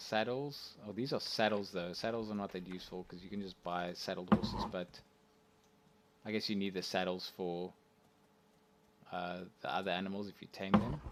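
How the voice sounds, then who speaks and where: Mumbling and soft-spoken, a man talks at a very deep, low pitch with fairly even intonation. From South Africa. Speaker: video game streamer. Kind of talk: live gameplay commentary.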